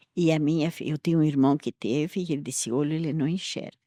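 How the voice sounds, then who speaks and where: In a dry, close sound with no echo, a woman speaks with a very deep, low pitch and a dark, mellow tone. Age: 80s+. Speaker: church elder. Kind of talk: testimony.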